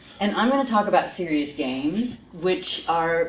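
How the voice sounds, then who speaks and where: A woman with an American accent, fairly low in pitch, at a fairly quick pace with lively intonation and audible room echo. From United States. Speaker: professor and psychologist. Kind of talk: lecture.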